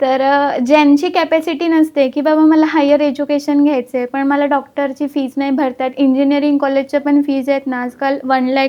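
A woman speaks in a high, monotone voice with flat intonation. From Maharashtra, Pandharpur. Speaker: chartered accountant. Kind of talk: interview.

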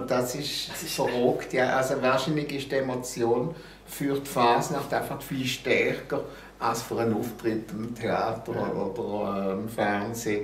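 With a Basel accent, a man speaks fairly slowly at a medium pitch and ordinary pitch variation, amid audible room echo and light background noise. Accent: Basel Swiss German. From Basel, Switzerland. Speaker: TV and radio host, columnist. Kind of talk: interview answer. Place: home room.

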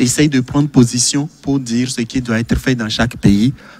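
A man is talking. His pitch stays fairly even. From Togo. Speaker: medical doctor; TV guest. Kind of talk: televised panel debate. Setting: studio. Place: studio. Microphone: studio mic.

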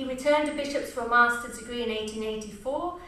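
Audible room echo surrounds a woman talking at a fairly quick pace in a high pitch. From England. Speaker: English literature professor. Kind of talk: presentation. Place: stage.

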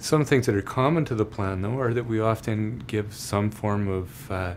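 A man's fairly low voice over light background noise. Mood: warm, reassuring.

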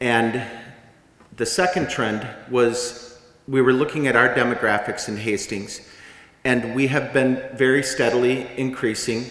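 A man at a moderate pace with fairly even intonation and audible room echo. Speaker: community organizer. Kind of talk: public speaking. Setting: stage with audience. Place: hall. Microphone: podium.

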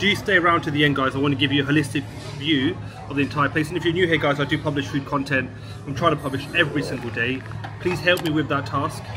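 Over clear background music, a man talks at a very fast pace. His intonation stays fairly even. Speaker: food reviewer. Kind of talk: casual vlog chat. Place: cafe. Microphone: phone near.

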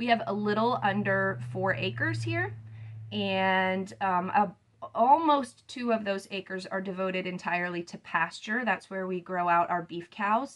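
A woman with a fairly bright tone speaks at a fairly slow pace, her pitch varying in an ordinary way. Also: medium pitch for a woman.

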